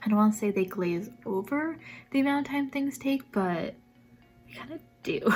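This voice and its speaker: A soft-spoken, somewhat breathy woman at a fairly quick pace with ordinary pitch variation. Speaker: vlogger and social media manager. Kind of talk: vlog. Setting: at home. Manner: calm.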